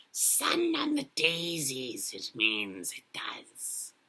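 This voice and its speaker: In a put-on character voice, someone whispers very slowly, raspy and hissing. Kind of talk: sinister creature voice. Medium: read story. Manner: hissing, whispering.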